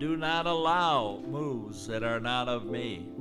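A man delivers his words very slowly while clear music sounds behind him. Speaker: preacher giving a prophecy. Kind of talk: prophetic preaching. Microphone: handheld.

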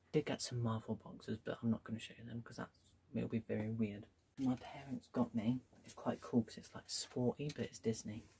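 A soft-spoken man talks at a fairly quick pace, somewhat breathy, with a dark, mellow tone and fairly even intonation. His loudness swings widely over light background noise. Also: medium pitch for a man. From UK. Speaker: YouTuber. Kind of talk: casual haul video. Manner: soft-spoken, speaking quietly. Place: home room. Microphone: phone near.

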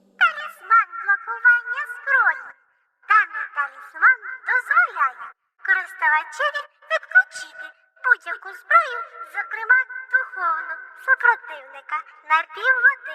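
A put-on character voice at an extremely high pitch, moderate in pace with long, frequent pauses, over music in the background. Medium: fan dub. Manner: formal, announcing, matter-of-fact.

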